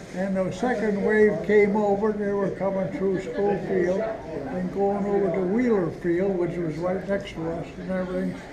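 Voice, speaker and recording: Noticeable background noise behind a man with a high-pitched voice. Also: fairly even intonation, moderate pace, hardly any pauses. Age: 80s+. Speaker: war veteran. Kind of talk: interview answer.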